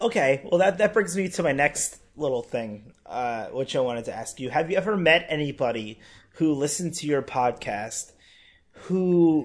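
A plain, everyday voice from a man, fairly high in pitch, with lively intonation at a moderate pace against a quiet background. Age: 20s. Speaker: podcast host. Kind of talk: casual chat.

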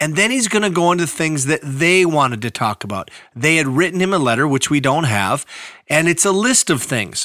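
Speaking at a fairly quick pace in an Upper Midwest accent, a man uses a fairly high pitch, very wide pitch swings and a bright, sharp tone. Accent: Upper Midwest (Minnesota). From northeastern Minnesota, Iron Range. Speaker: pastor. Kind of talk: Bible teaching podcast. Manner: casual, conversational.

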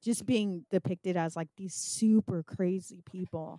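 Woman with an American accent, medium pitch and a normal speaking voice at a moderate pace, fairly even intonation, dry and close with no echo, in a very clean recording with a silent background. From California. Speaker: podcast host and filmmaker. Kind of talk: casual interview.

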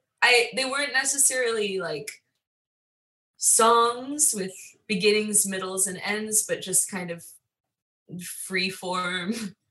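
In a room with audible echo, a woman with an American accent speaks very slowly in a bright, sharp tone at a fairly high pitch, with ordinary pitch variation and long, frequent pauses. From Long Island, New York. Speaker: musician and music teacher. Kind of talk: interview.

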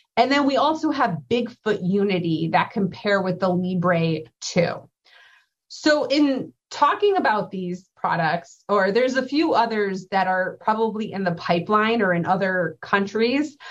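With an unremarkable speaking voice, a woman talks at a fairly slow pace, her medium pitch carried by lively intonation. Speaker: clinical pharmacist presenter. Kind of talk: educational slide presentation. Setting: virtual conference presentation.

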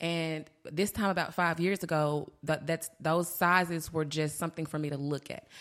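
A woman's ordinary speaking voice, fairly low in pitch, at a moderate pace with fairly even intonation, on a very clean recording with a silent background. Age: 30s. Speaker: bariatric surgery patient and weight loss advocate. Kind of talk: casual interview chat.

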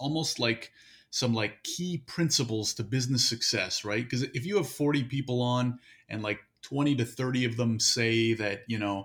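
A plain, everyday voice from a man, medium in pitch, ordinary in pitch variation, moderate in pace. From Canada. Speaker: podcast guest, hosts own interview podcast. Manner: conversational, casual.

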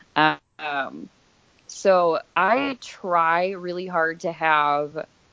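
A woman's fairly low voice in an American accent, with ordinary pitch variation. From Pennsylvania, Scranton. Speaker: body piercing studio manager. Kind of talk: casual interview. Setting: phone call.

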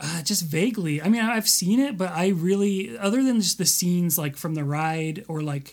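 At a moderate pace, the talking runs on with hardly any pauses. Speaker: podcast co-host. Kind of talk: casual chat.

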